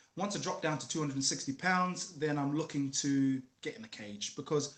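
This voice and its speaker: Speaking at a fairly quick pace, a man with a New Zealand accent uses a fairly high pitch and ordinary pitch variation. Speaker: former MMA fighter and musician. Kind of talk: casual interview chat.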